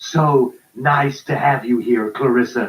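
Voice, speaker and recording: A man speaks in a put-on character voice at a medium pitch, with fairly even intonation and a fairly slow pace. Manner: effusive, loud.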